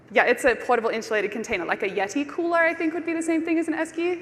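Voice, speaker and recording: With an Australian accent, a woman's pitch swings very widely. Noticeable background noise runs underneath. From Australia (Brisbane). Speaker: conference speaker. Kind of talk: conference talk. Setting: stage with audience.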